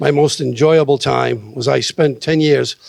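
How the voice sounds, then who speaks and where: With a Boston accent, a man speaks at a fairly slow pace. The sound is dry and close with no echo. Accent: Boston-area New England. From Salem, Massachusetts. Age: 60s. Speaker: city council candidate, retired police officer. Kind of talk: candidate forum speech.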